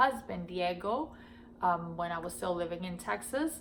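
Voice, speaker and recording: A woman with an American accent and a fairly low pitch speaks amid audible room echo. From Miami, Florida and Nicaragua. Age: 40s. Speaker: vlogger. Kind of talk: casual Q&A talk to camera. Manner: hesitant, many fillers.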